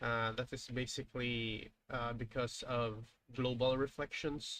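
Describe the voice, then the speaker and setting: Speaking at a fairly slow pace, a man talks with a Filipino accent. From Philippines. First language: Filipino language (not English). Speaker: indie game developer. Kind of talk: live stream dev commentary. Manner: halting, many fillers.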